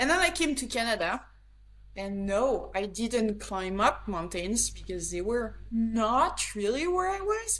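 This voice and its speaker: At a fairly slow pace, a woman speaks with audible room echo around her. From France, the Alps. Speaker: grip sport athlete and trainer. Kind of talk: interview.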